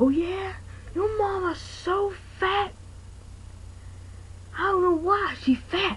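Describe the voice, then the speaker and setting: An extremely high, cartoonish character voice, shouting at a very slow pace with long, frequent pauses amid clear background noise. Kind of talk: amateur comic overacting. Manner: angry, shouting.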